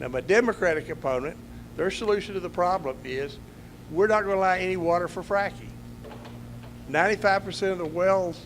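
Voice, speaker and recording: A man with a Texan accent speaks at a moderate pace in a high pitch with ordinary pitch variation. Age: 70s. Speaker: political candidate. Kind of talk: campaign speech at candidate forum.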